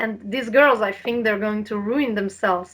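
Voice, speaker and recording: A woman's fairly high voice, with ordinary pitch variation, at a moderate pace. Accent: Slovene. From Slovenia. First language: Slovene. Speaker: health and diet coach. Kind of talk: interview.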